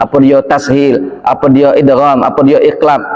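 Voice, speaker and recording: A man talks with a Palembang accent over noticeable background noise, and the room echo is audible. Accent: Palembang Indonesian. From Indonesia, Palembang. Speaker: preacher. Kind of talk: sermon. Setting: mosque.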